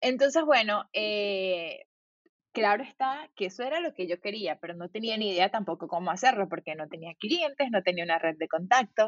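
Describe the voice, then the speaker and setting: Lively intonation from a woman with an ordinary speaking voice, her pitch medium and her pace moderate. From Venezuela (Valencia). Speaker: designer and entrepreneur. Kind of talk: interview.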